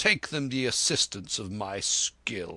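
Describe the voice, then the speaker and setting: A man uses a put-on, growling character voice that is gruff and medium in pitch, speaking at a fairly slow pace with lively intonation in a dry, close sound with no echo. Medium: read story. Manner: curt, gruff, educated.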